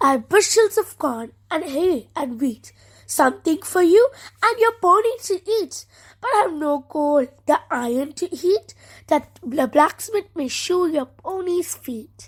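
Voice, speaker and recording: A woman uses a put-on character voice pitched extremely high. She delivers it at a fairly slow pace. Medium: read story.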